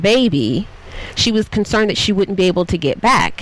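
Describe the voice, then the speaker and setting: A woman with an American accent at a fairly quick pace, ordinary pitch variation, and noticeable background noise. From US South. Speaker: TV recap show host. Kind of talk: casual chat. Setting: studio.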